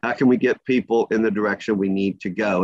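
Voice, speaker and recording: This is an ordinary speaking voice with fairly even intonation. The sound is dry and close, with no echo. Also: man. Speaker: labor market data presenter. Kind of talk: presentation.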